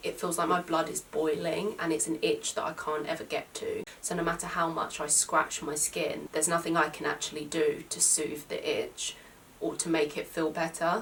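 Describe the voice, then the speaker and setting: There is noticeable background noise. A woman speaks with a British accent. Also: hardly any pauses. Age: 20s. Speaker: YouTuber with a chronic skin condition. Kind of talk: vlog talking to camera.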